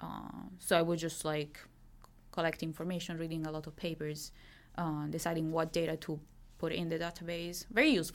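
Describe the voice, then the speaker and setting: Speaking fairly quickly with an Italian accent, a woman keeps a fairly low pitch and a monotone, flat intonation. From Italy, Milan. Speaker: graduate student in medieval studies. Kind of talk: interview.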